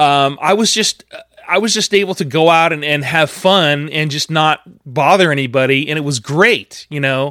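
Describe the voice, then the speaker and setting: A man speaks in a bright, sharp tone. The sound is dry and close, with no echo. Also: fairly high pitch for a man, ordinary pitch variation, moderate pace. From US West Coast (Sacramento, California). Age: 40s. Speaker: podcast host, racing fan. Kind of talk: solo podcast monologue. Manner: halting, many fillers and repeats.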